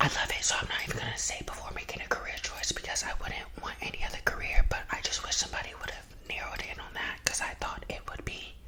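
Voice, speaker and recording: Someone whispers at a fairly quick pace. Noticeable background noise can be heard. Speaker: real estate agent. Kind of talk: ASMR casual talk to camera. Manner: whispered.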